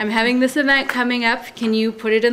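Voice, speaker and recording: This woman talks with an American accent at a fairly quick pace. Noticeable background noise runs behind her. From Seattle, US Pacific Northwest. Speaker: newspaper reporter. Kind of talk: panel discussion.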